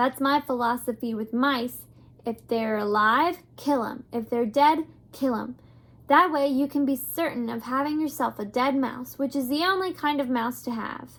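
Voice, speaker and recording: A woman puts on a gruff character voice at a high pitch. She keeps a moderate pace. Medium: read story. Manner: gruff, shouting.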